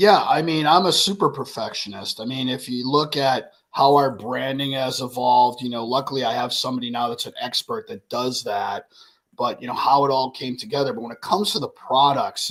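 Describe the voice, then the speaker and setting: Talking at a fairly quick pace with hardly any pauses, a man has an unremarkable speaking voice and big swings in loudness. His pitch is medium, with ordinary variation. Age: 60s. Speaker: cigar and spirits brand owner. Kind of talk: casual interview chat. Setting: live stream.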